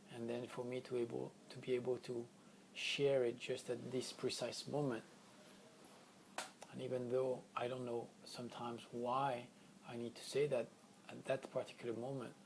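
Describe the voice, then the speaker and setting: With a non-native accent, a man speaks at medium pitch in a monotone, flat intonation, with long, frequent pauses and noticeable background noise. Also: moderate pace. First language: not English. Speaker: spiritual healing teacher. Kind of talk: spiritual teaching session. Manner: unscripted, occasional word searching.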